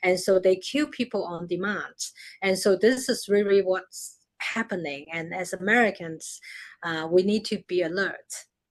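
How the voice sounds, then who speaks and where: With a Chinese accent, a woman speaks at a medium pitch. Her pace is moderate and her pitch variation ordinary. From China. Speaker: media executive. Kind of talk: interview. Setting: live stream.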